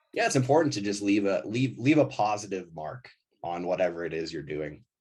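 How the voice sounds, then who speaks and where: A man in an American accent, moderate in pace, with very wide pitch swings. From US Midwest, suburbs of Milwaukee, Wisconsin. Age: 30s. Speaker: ski company founder. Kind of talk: casual chat. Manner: casual, many fillers and restarts.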